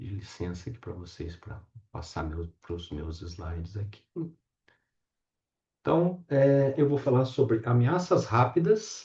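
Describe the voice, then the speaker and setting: Very slowly and with long, frequent pauses, a man with a medium pitch and a dark, mellow, somewhat breathy tone speaks with very wide pitch swings and big swings in loudness. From interior of São Paulo state, Brazil. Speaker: professor. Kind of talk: lecture.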